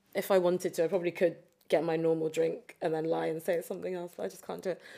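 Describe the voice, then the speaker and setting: In a London accent, a woman speaks at a fairly low pitch with vocal fry. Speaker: competitive cheerleader and personal trainer. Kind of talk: casual chat.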